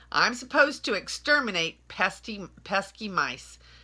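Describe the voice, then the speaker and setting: This is a put-on character voice at a fairly high pitch. Hissing runs through it. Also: moderate pace. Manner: hissing, indignant.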